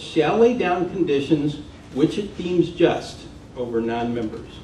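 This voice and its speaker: A man's pitch swings very widely as he talks, with audible room echo and noticeable background noise around him. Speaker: professor and environmental consultant. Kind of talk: public talk.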